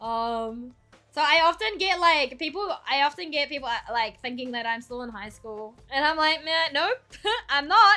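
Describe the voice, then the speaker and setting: With music in the background, a high-pitched woman with a New Zealand accent speaks in a raised, projected voice at a moderate pace, with lively intonation and big swings in loudness. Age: 20s. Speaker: streamer. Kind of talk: casual chat. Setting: live stream. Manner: animated.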